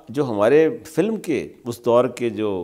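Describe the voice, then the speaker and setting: A man's dark, mellow voice with lively intonation against a quiet background. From Pakistan. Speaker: TV interviewer. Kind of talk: interview. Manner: formal. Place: studio.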